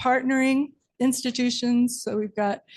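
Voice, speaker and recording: Soft-spoken and somewhat breathy, a woman talks fairly slowly with fairly even intonation. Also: quiet background. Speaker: marine science professor. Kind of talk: presentation to city council.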